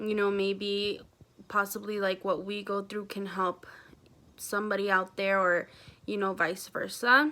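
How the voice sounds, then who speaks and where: Bright and sharp in tone, a woman's medium-pitched voice moves at a fairly slow pace with fairly even intonation over a very clean recording and a silent background. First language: Spanish. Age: 20s. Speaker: vlogger. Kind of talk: casual vlog talk.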